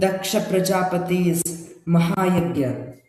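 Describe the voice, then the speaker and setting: There is audible room echo around this man's high-pitched voice. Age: young. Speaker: storyteller. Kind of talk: storytelling narration. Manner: expressive.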